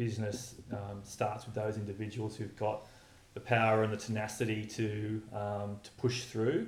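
With an Australian accent, this man speaks at a medium pitch in a somewhat breathy voice, and the room echo is audible. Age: 30s. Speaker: environmentalist and charity founder. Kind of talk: interview.

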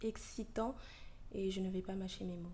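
The room echo is audible as a woman speaks at a medium pitch. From Ivorian heritage. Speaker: podcast host. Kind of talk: opinion monologue. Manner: animated.

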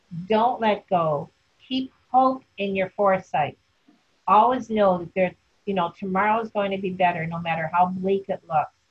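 At a moderate pace, a woman speaks in a medium pitch with a somewhat breathy quality. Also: ordinary pitch variation. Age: 70s. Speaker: survivor sharing life story. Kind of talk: interview testimony. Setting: video call.

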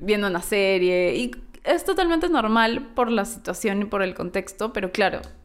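This woman has a normal speaking voice with fairly high pitch. She talks at a moderate pace with lively intonation. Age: 30s. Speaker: audiovisual communicator and former lecturer. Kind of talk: casual chat.

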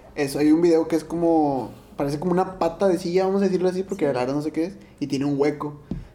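Noticeable background noise sits behind a man talking at a very fast pace. His pitch is fairly high and his intonation fairly even. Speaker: podcast co-host. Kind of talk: casual chat.

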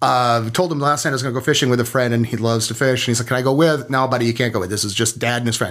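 A man's intonation stays fairly even at a medium pitch. He speaks very fast. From small-town Minnesota. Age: 50s. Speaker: military veteran and parent. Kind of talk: interview.

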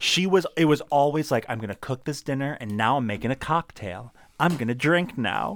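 With an American accent, a man speaks in a plain, everyday voice at a moderate pace, his fairly high pitch carrying lively intonation, on a very clean recording with a silent background. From Maryland, US (Laurel, between Baltimore and DC). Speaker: actor, playwright and gaming YouTuber. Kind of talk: casual interview chat. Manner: casual, frequent laughter and filler words.

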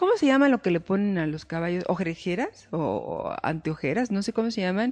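A woman speaks at a medium pitch and a fairly quick pace, her intonation lively. Noticeable background noise runs under her voice. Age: 50s. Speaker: life coach and show host. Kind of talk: talk show interview.

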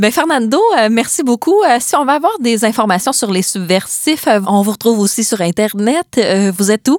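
Lively intonation in a Quebec accent at a moderate pace, with very even loudness and a dry, close sound with no echo. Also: woman, fairly high pitch for a woman. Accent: Québécois French. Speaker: podcast host. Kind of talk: casual interview.

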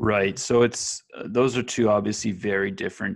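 A man with a normal speaking voice talks at a fairly quick pace, his fairly low pitch held in fairly even intonation. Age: 20s. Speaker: online entrepreneur. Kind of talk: casual chat. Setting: call recording.

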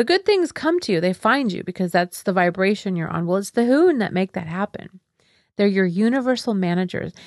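In a normal speaking voice, a woman talks at a fairly quick pace with ordinary pitch variation, the sound dry and close with no echo against a quiet background. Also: medium pitch for a woman. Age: 50s. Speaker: wellness podcast host and former yoga teacher trainer. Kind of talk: spiritual teaching monologue. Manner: warm and upbeat.

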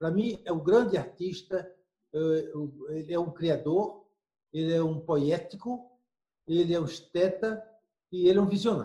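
Speaking at a fairly slow pace with long, frequent pauses, a man has a high pitch and a dark, mellow tone. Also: ordinary pitch variation. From Brazil, Recife (Pernambuco). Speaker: scholar. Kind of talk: interview.

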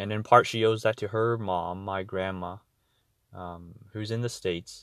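In a Canadian accent, a man speaks fairly slowly at a fairly low pitch, his intonation monotone and flat. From Ontario, Canada. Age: 20s. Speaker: podcaster. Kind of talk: personal diary monologue. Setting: in a car. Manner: halting.

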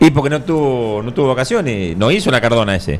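A man talks against noticeable background noise. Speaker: radio host. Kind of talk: casual chat about football.

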